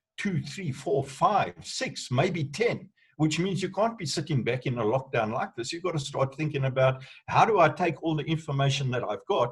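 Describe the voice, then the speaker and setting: Somewhat breathy, a man speaks at a fairly high pitch and a moderate pace. His intonation is lively. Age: 60s. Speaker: entrepreneur. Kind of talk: online group discussion.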